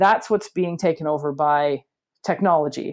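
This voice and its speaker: The speaker has a Canadian accent. The background is quiet. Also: woman. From Canada. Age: 40s. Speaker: educational technology coach. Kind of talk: casual chat. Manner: animated.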